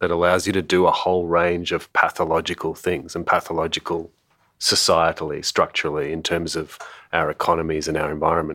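A man's very deep, low voice in an Australian accent, fairly quick and monotone with flat intonation, on a very clean recording with a silent background. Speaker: museum anthropologist and author. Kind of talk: casual chat.

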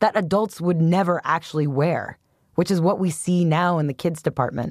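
A woman has an unremarkable speaking voice, fairly low in pitch with ordinary pitch variation, at a moderate pace. The sound is dry and close with no echo, on a very clean recording with a silent background. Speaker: podcast host. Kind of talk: scripted narration.

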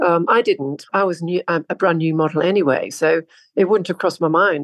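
Against a quiet background, a woman uses a plain, everyday voice, fairly low in pitch with ordinary pitch variation, at a fairly quick pace. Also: dry, close sound with no echo. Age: 60s. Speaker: model. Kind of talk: interview.

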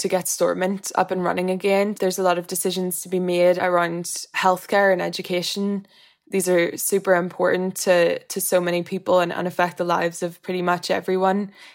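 In a Northern Irish accent, the speaker keeps a monotone, flat intonation at a moderate pace with hardly any pauses, on a very clean recording with a silent background. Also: woman. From Northern Ireland. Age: 20s. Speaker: interviewee. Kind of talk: interview.

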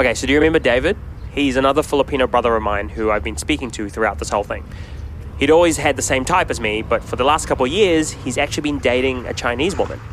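Over noticeable background noise, a man of medium pitch talks at a very fast pace with lively intonation. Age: 30s. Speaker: podcast co-host. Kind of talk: documentary-style podcast narration and chat.

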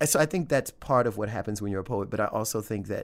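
A man with a Louisiana accent speaks at a fairly quick pace in a fairly low pitch, on a very clean recording with a silent background. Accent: Southern US (Louisiana). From US South, Louisiana. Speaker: poet. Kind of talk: interview. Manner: chatty.

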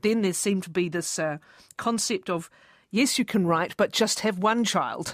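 Over a silent background in a very clean recording, a woman talks at a fairly quick pace in a normal speaking voice with ordinary pitch variation, the sound dry and close with no echo. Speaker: radio interviewer. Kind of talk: interview questions.

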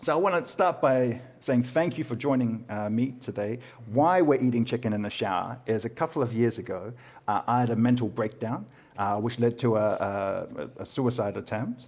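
On a very clean recording with a silent background, a man speaks with a New Zealand accent. His pace is moderate and his pitch variation ordinary. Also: medium pitch for a man. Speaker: podcast host and comedian. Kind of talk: casual interview chat about mental health.

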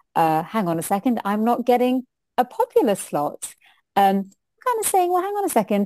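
In a British accent, a woman with a dark, mellow tone talks at a fairly quick pace with very wide pitch swings, in a dry, close sound with no echo. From UK. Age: 40s. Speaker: diversity consultant and lawyer. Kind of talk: interview.

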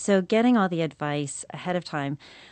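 A woman with a Canadian accent has a plain, everyday voice, fairly low in pitch with ordinary pitch variation. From Canada. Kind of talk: radio interview.

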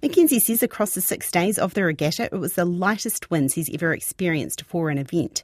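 In a New Zealand accent, a woman speaks at a fairly quick pace and medium pitch with lively intonation, on a very clean recording with a silent background and a dry, close sound with no echo.

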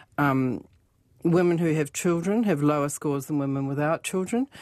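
A woman with a New Zealand accent speaks at a moderate pace, her pitch very deep and low with ordinary variation. Her tone is dark and mellow, and the recording is very clean with a silent background. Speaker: financial author and radio columnist. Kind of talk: casual radio chat about money. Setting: radio studio.

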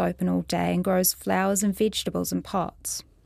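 In a very clean recording with a silent background, a woman with a New Zealand accent speaks at a moderate pace. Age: 30s. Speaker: writer. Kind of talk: reading aloud.

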